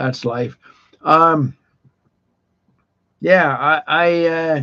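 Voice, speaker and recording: Here a man speaks with a fairly high pitch and a bright, sharp tone. His intonation stays fairly even. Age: 60s. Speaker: widower vlogger. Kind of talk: personal monologue. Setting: live stream. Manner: halting.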